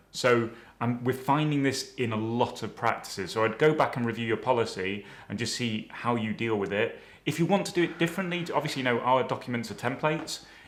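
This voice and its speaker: A man's medium-pitched voice with a British accent, lively intonation and a fairly quick pace. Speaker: dental compliance trainer. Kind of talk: webinar presentation. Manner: fast; hesitant, many fillers.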